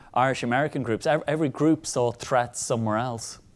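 A man speaks at a medium pitch with ordinary pitch variation and a normal speaking voice. The recording is very clean, with a silent background. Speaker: historian. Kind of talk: panel discussion. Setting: stage with audience.

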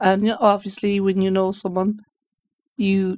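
A woman with a western Irish accent speaks at a moderate pace, her medium pitch held in monotone, flat intonation. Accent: Irish (west of Ireland). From Ireland, Galway. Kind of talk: personal testimony interview. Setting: radio studio.

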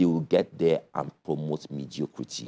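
The man's tone is dark and mellow, his pace fairly slow. The sound is dry and close with no echo. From Nigeria (Kano, then Lagos). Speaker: presidential candidate. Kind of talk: political interview.

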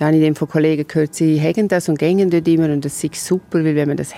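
Speaking very fast, a woman uses a very deep, low pitch with a dark, mellow tone and fairly even intonation. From Switzerland, Graubünden. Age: 50s. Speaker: orchestra board president and lawyer. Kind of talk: interview. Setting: outdoors in castle courtyard.

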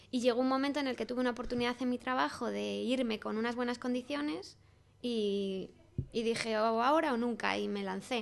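A woman's normal speaking voice, fairly high in pitch with ordinary pitch variation, at a fairly quick pace. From Spain, Salamanca. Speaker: craft designer and shop owner. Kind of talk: interview. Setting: in a shop with customers.

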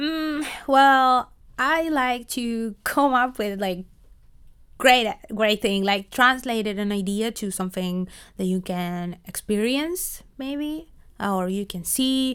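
A woman speaks at a very slow pace with a fairly high pitch. The recording is very clean, with a silent background. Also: lively intonation. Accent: Spanish. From Argentina. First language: Spanish. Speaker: project manager. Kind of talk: interview. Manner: hesitant, many fillers.

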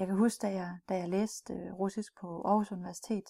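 A somewhat breathy woman's voice of medium pitch and dark, mellow tone, fairly slow, dry and close with no echo, on a very clean recording with a silent background. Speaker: cultural trainer for business in Russia. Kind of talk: recorded training module. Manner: hesitant, many fillers and repeats.

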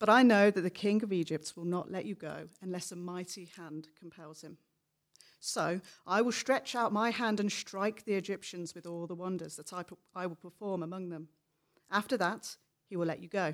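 A woman talks in a plain, everyday voice at a moderate pace, her medium pitch showing ordinary variation. Her loudness swings widely. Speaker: scripture reader. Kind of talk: reading aloud. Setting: church.

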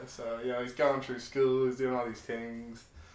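A man speaks with monotone, flat intonation. Audible room echo is present. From Ireland. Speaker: podcast co-host. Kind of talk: casual chat.

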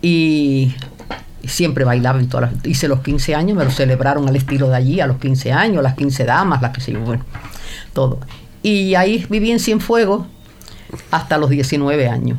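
Audible room echo surrounds a woman with a very deep, low pitch who speaks at a moderate pace with long, frequent pauses. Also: lively intonation. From Cuba, Havana. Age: 80s+. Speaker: host's mother. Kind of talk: casual chat.

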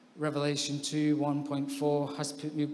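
A man's fairly high-pitched voice amid audible room echo. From England (born in Scotland). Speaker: baptism candidate, social worker. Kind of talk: testimony.

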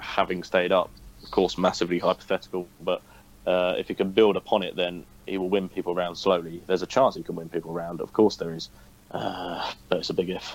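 Very deep and low, this man's voice moves at a fairly quick pace. It stays monotone, with flat intonation. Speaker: football podcast co-host, match commentator. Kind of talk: casual football podcast chat.

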